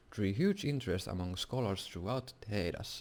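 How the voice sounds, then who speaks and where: The speaker has a Finnish accent. The pace is fairly quick. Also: man. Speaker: gaming YouTuber. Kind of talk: reading aloud. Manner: halting.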